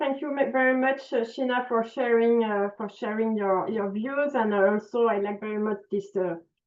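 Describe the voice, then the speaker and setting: A woman with a French accent, fairly high-pitched, at a moderate pace with ordinary pitch variation and hardly any pauses. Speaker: conference moderator. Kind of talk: panel moderation. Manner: halting, many fillers.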